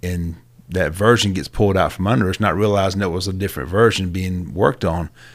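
In a Southern US accent, a man with a very deep, low pitch talks at a very fast pace. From Georgia small towns. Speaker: real estate agent. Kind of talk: casual interview.

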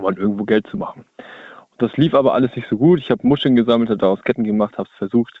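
Very fast, medium-pitched speech from a man, with ordinary pitch variation. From northern Germany, Hamburg area. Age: 20s. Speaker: caller, van dweller. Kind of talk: phone-in call. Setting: phone call from his van.

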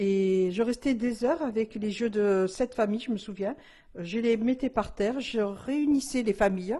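This woman talks at a fairly slow pace with ordinary pitch variation. Her voice is fairly high in pitch, with a dark, mellow tone. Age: 60s. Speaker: tarot reader. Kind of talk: interview testimony. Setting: at the guest's home. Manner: hesitant, many fillers.

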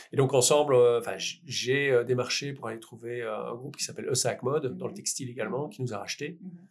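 Fairly quick delivery and fairly even intonation in an ordinary speaking voice. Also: man, medium pitch for a man. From Belgium, Liège. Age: 40s. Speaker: entrepreneur. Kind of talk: interview. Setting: in person recording.

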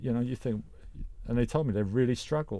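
Lively intonation runs through a man's very fast speech. The tone is dark and mellow. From London. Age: middle-aged. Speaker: podcast co-host. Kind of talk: casual chat.

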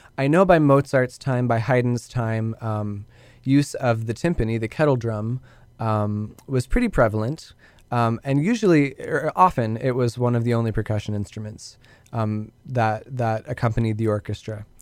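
Recorded very cleanly against a silent background, a man with an unremarkable speaking voice talks at a moderate pace with ordinary pitch variation. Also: medium pitch for a man. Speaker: university wind ensemble member, tour participant. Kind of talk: casual interview, answering questions. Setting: studio. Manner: articulate, thoughtful, many filler ums.

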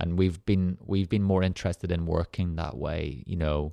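A man talks with an Irish accent at a very deep, low pitch and a moderate pace. His intonation is fairly even, the background is quiet, and the sound is dry and close with no echo. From rural Ireland. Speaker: arts center founder and artist. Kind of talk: interview conversation. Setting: studio.

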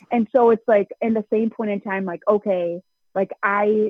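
A woman's voice with ordinary pitch variation, at a moderate pace. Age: 20s. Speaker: sprint car driver. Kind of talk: interview. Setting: phone call.

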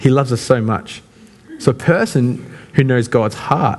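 This man's voice is somewhat breathy. He speaks at a fairly quick pace. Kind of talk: sermon. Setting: church. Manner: casual, conversational.

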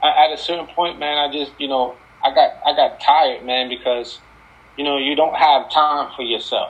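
This is a man with a normal speaking voice and an American accent. His pitch is fairly high, and his pace is moderate. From New Jersey, Paterson. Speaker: former NFL football player. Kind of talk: casual interview. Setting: video call. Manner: casual, filler-heavy.

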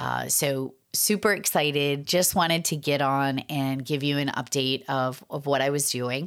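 In a very clean recording with a silent background, a woman with a Boston accent speaks at a fairly slow pace with hardly any pauses, using a very deep, low pitch, ordinary pitch variation and an upbeat, animated tone. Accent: Boston-area New England. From Massachusetts. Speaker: podcast host and 911 trainer. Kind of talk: podcast intro and update, scripted-style sponsor read.

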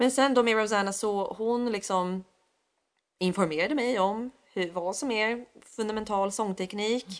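The delivery keeps to a middling speed. Its rise and fall in pitch is typical. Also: woman, fairly high pitch for a woman. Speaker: singer and voice teacher. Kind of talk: casual interview.

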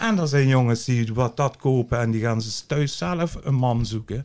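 This man talks at a very slow pace, his voice at a medium pitch with ordinary pitch variation. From Dutch Limburg. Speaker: cannabis grower. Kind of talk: casual interview. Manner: blunt, outspoken.

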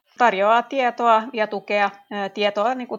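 Keeping her intonation fairly even, a woman speaks at a medium pitch and a fairly slow pace. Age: 30s. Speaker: teacher and chair of an infertility support association. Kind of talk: interview. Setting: remote recording.

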